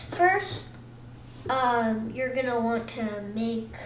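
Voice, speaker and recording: Recorded with audible room echo and noticeable background noise, a woman speaks at a very slow pace with a fairly high pitch and ordinary pitch variation. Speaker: gaming tutorial youtuber. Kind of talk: tutorial. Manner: halting, many fillers and restarts; casual.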